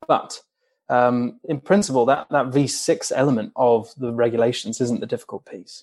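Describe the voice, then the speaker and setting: Speaking in a normal speaking voice, a man keeps a medium pitch and a moderate pace, and his pitch varies in an ordinary way. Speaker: racing engineering journalist. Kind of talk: technical interview.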